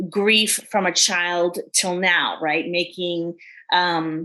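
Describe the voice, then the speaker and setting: Against a quiet background, a woman with a New York accent speaks with fairly even intonation. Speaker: life coach. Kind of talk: podcast interview.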